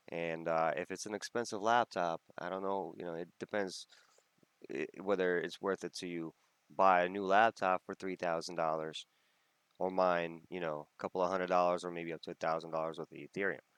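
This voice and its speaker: Very deep and low, a man's voice comes through dry and close with no echo. He speaks at a fairly quick pace. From Russia. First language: Russian. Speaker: crypto YouTuber. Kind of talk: tutorial. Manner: casual, with many fillers.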